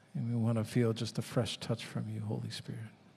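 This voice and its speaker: The man's intonation stays fairly even. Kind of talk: opening welcome and prayer. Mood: calm, reverent. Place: church. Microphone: handheld.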